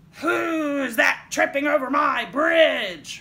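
A put-on character voice, gruff and bellowing, with a high pitch and a very slow pace. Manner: roaring, gruff.

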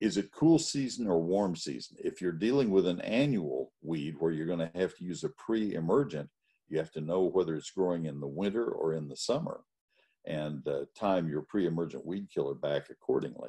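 Against a quiet background, a man talks at a moderate pace with a very deep, low pitch, lively intonation and a dark, mellow tone. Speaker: presenter. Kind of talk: lecture. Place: home room.

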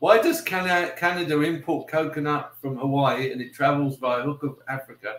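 A man with a British accent talks in a fairly high pitch with hardly any pauses, with audible room echo around him. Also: ordinary pitch variation, fairly quick pace. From UK. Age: 60s. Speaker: YouTuber. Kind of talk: casual livestream chat. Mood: friendly, relaxed. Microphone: webcam.

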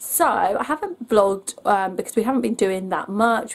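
Speaking at a moderate pace, a woman with an English accent has a fairly high pitch and lively intonation. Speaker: family vlogger. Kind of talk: casual vlog.

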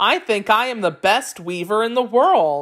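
This woman has a normal speaking voice with lively intonation. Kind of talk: children's myth audiobook narration. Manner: clear, measured storyteller pacing with glossed vocabulary.

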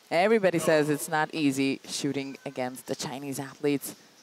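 A woman's very deep, low voice in an animated tone, over noticeable background noise. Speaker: shooting sport commentator. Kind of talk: live sports commentary of a shooting final. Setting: venue at shooting competition with crowd. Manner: animated, building tension at match point.

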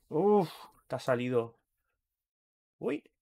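A man is speaking. His pitch swings very widely. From Catalonia, Spain (Barcelona area). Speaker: gaming streamer. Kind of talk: live gameplay stream, casual chat with viewers. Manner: animated, exclamatory.

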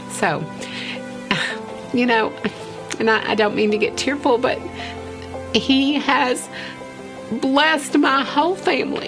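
Over clear music in the background, a woman with a high pitch and lively intonation speaks at a fairly slow pace, leaving long, frequent pauses. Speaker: elementary school teacher. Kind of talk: documentary interview answer. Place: studio.

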